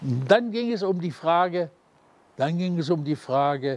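A man's fairly high voice with lively intonation, delivered at a very slow pace in a dry sound with no echo. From Germany. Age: 80s+. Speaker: World War II veteran and former prisoner of war. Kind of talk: eyewitness interview answer. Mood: lively, at times amused. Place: forest. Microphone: lapel.

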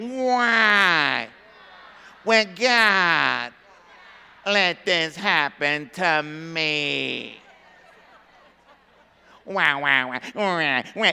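Over crowd noise in the background, a whiny, put-on character voice at middle pitch drags along at a very slow pace with long, frequent pauses. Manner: whining.

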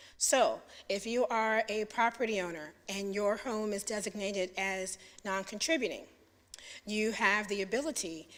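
A woman's normal speaking voice, medium in pitch with ordinary pitch variation and a moderate pace, on a very clean recording with a silent background. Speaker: city planning staff presenter. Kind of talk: presentation to a public commission. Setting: public meeting.

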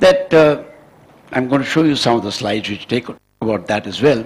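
A man speaks with an Indian accent. His intonation is lively. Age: 70s. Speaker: scientist and education advisor. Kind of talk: lecture. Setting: stage with audience. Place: hall. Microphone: podium.

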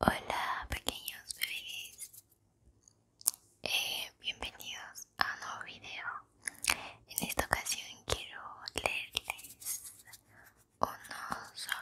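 Pausing long and often, a woman whispers at a very slow pace. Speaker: ASMR content creator. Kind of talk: whispered poetry reading for sleep. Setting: ASMR video, close microphone. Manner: whispered, soft. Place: home room. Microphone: studio mic.

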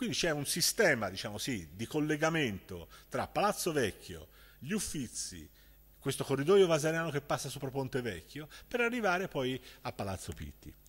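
Pitched fairly high with vocal fry, a man speaks at a moderate pace with very wide pitch swings. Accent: Florentine. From Florence, Italy. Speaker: festival speaker. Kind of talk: lecture. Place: stage. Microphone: podium.

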